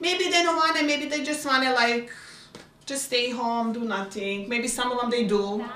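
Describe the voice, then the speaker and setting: A speaker with a Bosnian accent talks at a moderate pace. Noticeable background noise and audible room echo run through the recording. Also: woman, high pitch for a woman, ordinary pitch variation. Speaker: refugee resident. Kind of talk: documentary interview. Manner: halting, many fillers.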